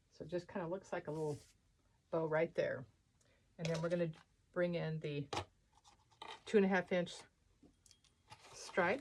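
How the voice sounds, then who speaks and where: Fairly low female voice broken by long, frequent pauses. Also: ordinary pitch variation. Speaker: wreath and holiday decor designer. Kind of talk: craft tutorial. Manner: fast; casual, chatty.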